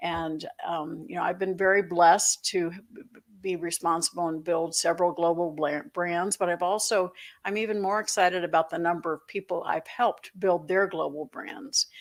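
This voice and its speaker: A plain, everyday voice at a moderate pace, with ordinary pitch variation, big swings in loudness, and a very clean recording over a silent background. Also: woman, fairly low pitch for a woman. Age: 60s. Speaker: author and financial educator. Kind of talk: interview.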